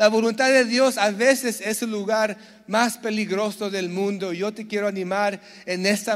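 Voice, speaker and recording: Here a man talks at a fairly slow pace, with a high pitch and ordinary pitch variation. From San Diego, US, Mexican-Bolivian family. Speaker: pastor. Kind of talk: sermon. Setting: church.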